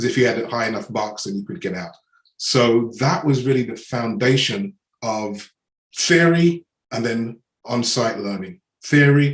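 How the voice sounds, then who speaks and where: In an English accent, a man speaks at a moderate pace and medium pitch with ordinary pitch variation. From England. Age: 60s. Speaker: business mentor and coach. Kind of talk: podcast interview.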